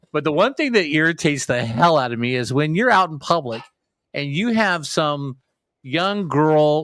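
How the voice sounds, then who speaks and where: A man with an ordinary speaking voice talks at a fairly high pitch and a moderate pace. His intonation is lively, and the recording is very clean with a silent background. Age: 60s. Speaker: podcast co-host. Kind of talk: casual chat.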